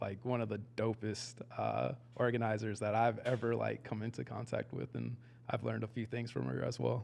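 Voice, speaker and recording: With a Texan accent, a man talks at a moderate pace in a medium pitch, his intonation monotone and flat and his voice marked by vocal fry. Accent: Texan American English. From Texas, Dallas. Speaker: community organizer. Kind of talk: casual interview chat.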